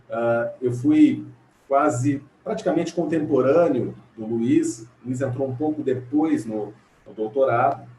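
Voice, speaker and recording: A man with an interior São Paulo accent, fairly high pitch, ordinary pitch variation, a fairly slow pace, big swings in loudness and noticeable background noise. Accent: caipira accent of interior São Paulo. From Brazil, interior of São Paulo state. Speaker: legal scholar, panel speaker. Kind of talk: academic panel talk. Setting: video call from home. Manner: halting, many fillers.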